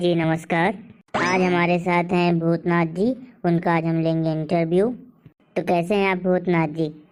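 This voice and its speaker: A woman does a cartoonish character voice at a fairly low pitch and a moderate pace. Her intonation is fairly even and her loudness very even. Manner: polite, easily scared.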